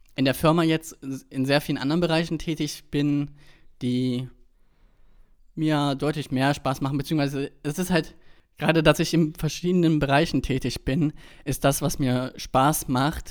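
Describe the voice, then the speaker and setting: Against a very clean recording with a silent background, a man talks at a moderate pace with a fairly high pitch. His intonation is fairly even, broken by long, frequent pauses. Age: 20s. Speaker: podcast co-host, web developer. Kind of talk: casual chat.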